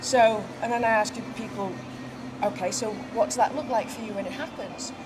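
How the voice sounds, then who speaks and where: The speech moves at a moderate pace with fairly even intonation and big swings in loudness. Audible room echo and noticeable background noise are present. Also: woman, fairly high pitch for a woman. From England, Manchester. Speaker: horse business co-owner and former advertising executive. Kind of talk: casual interview. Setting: outdoors at horse show.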